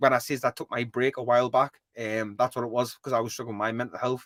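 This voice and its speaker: In a strong Geordie accent, a man speaks at a medium pitch with a bright, sharp tone and a dry, close sound with no echo. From northeast England (Newcastle area). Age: 20s. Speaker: gaming streamer. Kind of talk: casual chat. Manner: fast; animated.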